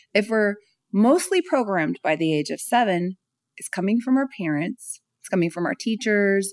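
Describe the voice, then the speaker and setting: A normal speaking voice with an American accent and lively intonation moves at a moderate pace, captured dry and close with no echo on a very clean recording against a silent background. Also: woman. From California. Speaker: speaker and author on self-love. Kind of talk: interview conversation.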